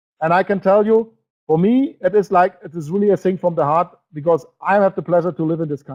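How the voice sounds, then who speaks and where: His voice is high-pitched for a man, with ordinary pitch variation and a fairly quick pace, recorded dry and close with no echo. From Germany. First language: German. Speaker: network marketing presenter. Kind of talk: webinar presentation. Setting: online webinar broadcast. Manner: animated.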